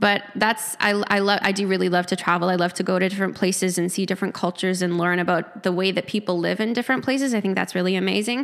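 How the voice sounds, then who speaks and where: In a Manitoban accent, a woman at a medium pitch rushes along at a very fast pace with hardly any pauses, fairly even intonation and very even loudness. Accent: Canadian (Manitoba). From rural Manitoba, Canada (near Lorette). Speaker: gym member sharing recovery story. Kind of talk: interview testimony. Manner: quiet. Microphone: handheld mic held too far away.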